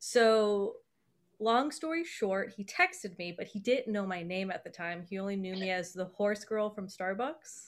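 A woman at a medium pitch uses a normal speaking voice, with a moderate pace and ordinary pitch variation. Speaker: podcast host. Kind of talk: casual chat.

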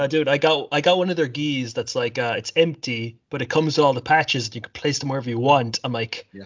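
Rattling along at a very fast pace with hardly any pauses, a man with an Irish accent speaks at a fairly high pitch with ordinary pitch variation. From Ireland. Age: 20s. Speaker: podcast host. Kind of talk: casual chat.

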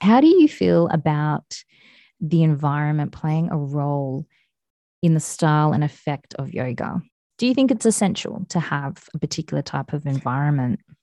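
A woman in an Australian accent, very deep and low-pitched with a dark, mellow tone, at a moderate pace over a quiet background. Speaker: podcast host. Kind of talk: casual chat.

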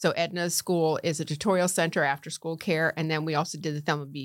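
On a very clean recording with a silent background, a woman with an American accent talks at a fairly quick pace in a very deep, low pitch. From Connecticut (Norwalk). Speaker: county commissioner and former professional golfer. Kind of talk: interview.

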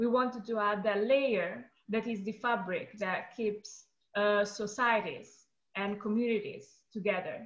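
In an Italian accent, a woman with a fairly high pitch talks somewhat breathily at a fairly slow pace with fairly even intonation. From Italy. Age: 20s. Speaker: artist and activist. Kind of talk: interview.

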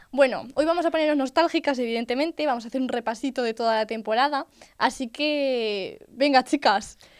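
Speech comes at a fairly quick pace with ordinary pitch variation. The sound is dry and close with no echo, in a very clean recording over a silent background. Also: woman, high pitch for a woman. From Spain, Albacete. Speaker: podcast co-host, university student. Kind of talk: casual chat. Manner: animated.

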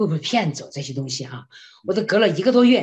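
A woman's somewhat breathy, animated voice at medium pitch, with very wide pitch swings against a quiet background. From China. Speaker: classical singer and voice professor. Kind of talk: interview testimony.

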